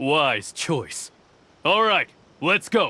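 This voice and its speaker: This man uses a put-on character voice. It sits high in pitch for a man. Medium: video game. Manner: menacing, curt.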